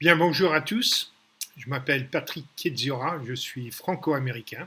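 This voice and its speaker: The tone is bright and sharp, the delivery fairly slow, and the loudness swings widely. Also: man, fairly high pitch for a man, ordinary pitch variation. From New York, US (emigrated from Paris at five). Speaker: business mentor and investor. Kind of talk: business talk to camera. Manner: direct; halting with fillers.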